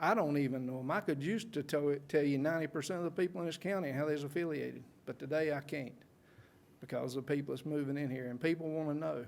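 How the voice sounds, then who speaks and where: With a North Carolina accent, a man with a fairly high pitch talks at a very fast pace with ordinary pitch variation. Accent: Southern US (North Carolina). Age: 60s. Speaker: public commenter. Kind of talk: public comment at council meeting. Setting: county board meeting.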